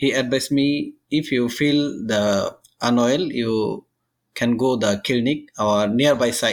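Over a very clean recording with a silent background, a man speaks at a very slow pace with a Bengali accent. His medium pitch shows ordinary variation, and his loudness stays very even. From Bangladesh. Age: 30s. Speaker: migrant construction worker. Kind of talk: interview. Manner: halting.

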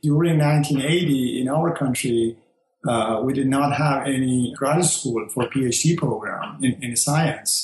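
A man with a Persian accent, medium pitch and fairly even intonation. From Iran. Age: 60s. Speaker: engineer, host's father. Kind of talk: interview. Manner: halting.

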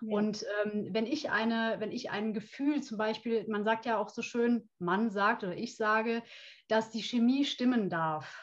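A woman speaks fairly slowly in a somewhat breathy voice. Her pitch is fairly high and her intonation fairly even. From Rhineland, Germany (Brühl near Cologne). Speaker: coach. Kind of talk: interview.

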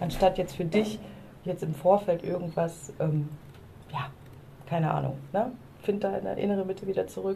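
A woman's speech with long, frequent pauses over noticeable background noise. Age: 40s. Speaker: podcast co-host, coach. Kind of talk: casual chat. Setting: outdoors on a balcony.

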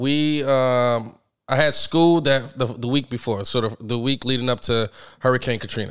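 A man with an American accent at medium pitch and a moderate pace, fairly even in intonation, on a very clean recording with a silent background. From New Orleans. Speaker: barber and business owner. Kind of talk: casual chat.

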